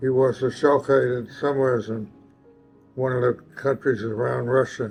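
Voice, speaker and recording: Over music in the background, a man at medium pitch speaks at a moderate pace in a monotone, flat intonation. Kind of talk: family history interview answer.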